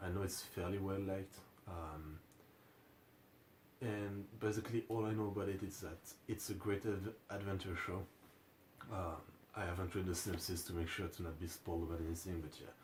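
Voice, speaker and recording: At a fairly quick pace broken by long, frequent pauses, a man talks in a very deep, low voice with monotone, flat intonation. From France. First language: French. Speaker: anime reaction youtuber. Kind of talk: casual video commentary. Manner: hesitant, many fillers.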